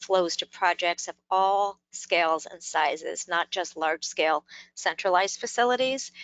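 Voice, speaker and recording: This is a woman speaking. She keeps a moderate pace. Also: dry sound with no echo. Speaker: webinar presenter. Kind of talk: webinar presentation. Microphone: video call.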